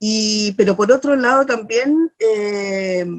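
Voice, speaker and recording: The voice belongs to a woman. She speaks at a medium pitch. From Chile, Chiloé (Ancud). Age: 60s. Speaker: poet and teacher, constitutional candidate. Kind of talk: interview. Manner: halting, many fillers and repetitions.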